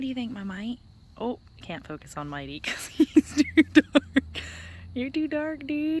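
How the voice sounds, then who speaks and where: A soft-spoken woman with a high voice talks at a fairly slow pace with lively intonation and big swings in loudness. The sound is dry and close, with no echo. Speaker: gardening vlogger. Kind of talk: casual vlog chat. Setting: outdoors in garden at dusk.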